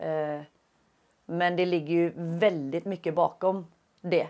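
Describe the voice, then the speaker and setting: A woman speaks with fairly even intonation. Her voice is fairly low. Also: very clean recording, silent background. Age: 30s. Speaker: UX design student. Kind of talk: interview answers. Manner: halting with many fillers.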